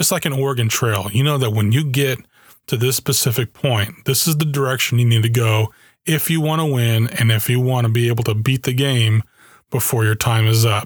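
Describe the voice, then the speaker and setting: Somewhat breathy and very even in loudness, the voice has an American accent, ordinary pitch variation and a fairly quick pace in a very clean recording with a silent background. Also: man, medium pitch for a man. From Germany (US army family). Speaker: podcast host. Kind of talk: solo podcast monologue.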